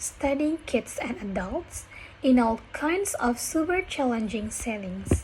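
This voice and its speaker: Speech comes at a very slow pace, with noticeable background noise present. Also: woman. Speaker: university student. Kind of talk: reading a speech aloud for pronunciation practice. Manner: careful, deliberate.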